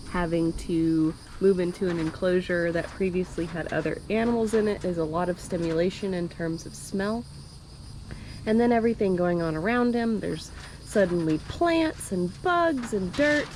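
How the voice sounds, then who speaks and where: A plain, everyday voice from a woman, medium-pitched with ordinary pitch variation, at a moderate pace. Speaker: reptile keeper and video creator. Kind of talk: casual vlog narration.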